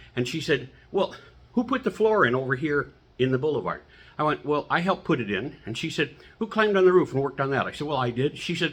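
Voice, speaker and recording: Fairly high in pitch, this man swings very widely between notes. He talks at a very fast pace and sounds somewhat breathy. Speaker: humorist and motivational speaker. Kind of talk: motivational talk. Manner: animated.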